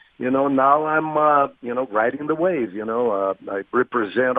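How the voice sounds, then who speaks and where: A man with a Portuguese accent speaks at a moderate pace. His intonation stays fairly even. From Brazil, Rio de Janeiro. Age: 50s. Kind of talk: radio interview. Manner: halting, many fillers.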